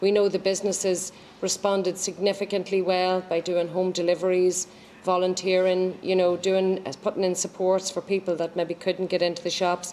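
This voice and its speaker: Monotone, flat intonation and a dark, mellow tone, in an Irish accent. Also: woman, medium pitch for a woman, moderate pace, very even loudness. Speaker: age friendly programme official. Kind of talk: formal event speech. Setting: live-streamed launch event.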